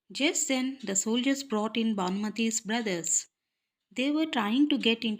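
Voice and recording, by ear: Someone reads aloud in a natural voice over a quiet background, and the pitch moves in an ordinary way.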